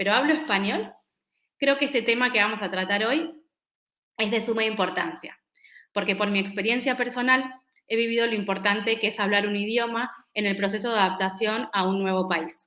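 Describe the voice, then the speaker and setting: A woman speaks at a moderate pace with a fairly high pitch. Her tone is bright and sharp, with ordinary pitch variation. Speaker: event moderator. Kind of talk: webinar presentation. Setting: online event.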